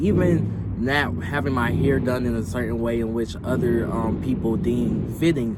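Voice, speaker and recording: With an American accent, a man speaks at a fairly slow pace and medium pitch with ordinary pitch variation, amid noticeable background noise and audible room echo. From US South, Atlanta. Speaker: vlogger. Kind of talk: personal testimony.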